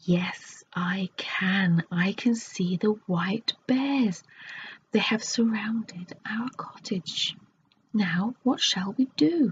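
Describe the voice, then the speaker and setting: In a put-on character voice, a woman growls at a very slow pace with a fairly high pitch. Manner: loud, growling.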